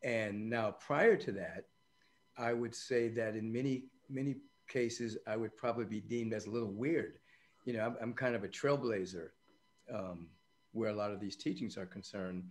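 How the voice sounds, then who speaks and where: Here a man talks at a moderate pace with ordinary pitch variation. Long, frequent pauses break up his speech. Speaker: podcast guest, spiritual teacher. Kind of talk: interview answer. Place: home room. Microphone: video call.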